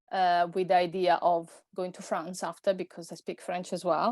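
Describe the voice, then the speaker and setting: On a very clean recording with a silent background, a woman with an Italian accent speaks at a medium pitch and a moderate pace. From Italy. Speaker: personal stylist. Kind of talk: podcast interview. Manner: halting, many fillers.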